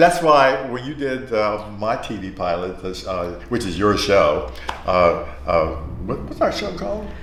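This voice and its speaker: A man with an American accent talks at a fairly slow pace, with audible room echo and noticeable background noise. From Philadelphia area, US. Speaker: talk show host. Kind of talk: casual interview chat. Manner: animated.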